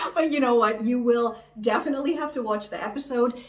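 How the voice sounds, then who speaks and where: A woman with a high-pitched, animated voice speaks over noticeable background noise and audible room echo. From Canada, Toronto. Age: 40s. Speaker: YouTuber, game show contestant. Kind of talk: casual vlog talk.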